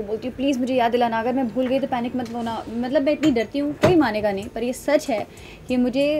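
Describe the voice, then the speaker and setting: Amid noticeable background noise, a woman talks at a fairly quick pace with ordinary pitch variation. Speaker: interviewee. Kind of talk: interview answer. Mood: animated, candid. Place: home room. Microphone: handheld.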